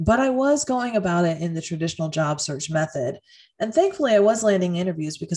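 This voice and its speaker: Music plays in the background while a woman speaks fairly quickly at a fairly low pitch with very wide pitch swings. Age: 30s. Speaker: podcast host and career coach. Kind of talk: solo podcast monologue.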